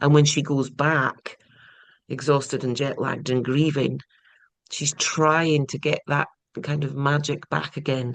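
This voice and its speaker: Long, frequent pauses break up this fairly slow speech in a Scottish accent. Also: woman, very deep, low pitch for a woman. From east coast Scotland, small town. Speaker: crime novelist. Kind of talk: interview. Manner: animated.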